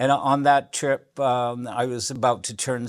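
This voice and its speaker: Monotone, flat intonation comes from this man. He speaks at a very slow pace. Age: 70s. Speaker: author. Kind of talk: lecture. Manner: halting.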